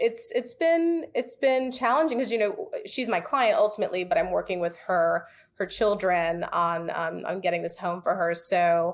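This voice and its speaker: A woman with an unremarkable speaking voice talks at a medium pitch and a fairly slow pace, with lively intonation. The recording is very clean, with a silent background. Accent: American. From New York City. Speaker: real estate agent. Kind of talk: podcast interview.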